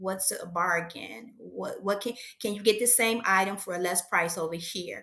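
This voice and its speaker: At a fairly slow pace, a woman speaks in a bright, sharp tone. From USA. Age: 60s. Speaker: aspiring entrepreneur. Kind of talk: coaching session.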